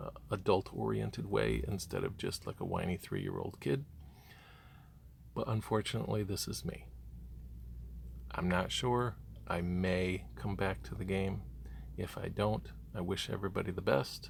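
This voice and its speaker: The speaker moves at a moderate pace with long, frequent pauses and vocal fry. Pitch swings very widely. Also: man, very deep, low pitch for a man. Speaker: gaming youtuber. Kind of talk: rant.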